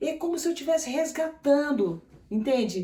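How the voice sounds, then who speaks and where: A woman talks at a fairly slow pace in a somewhat breathy voice with a dark, mellow tone. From Brasília, Brazil (born in Maranhão). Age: 60s. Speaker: clown and clown teacher. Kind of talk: interview. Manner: halting.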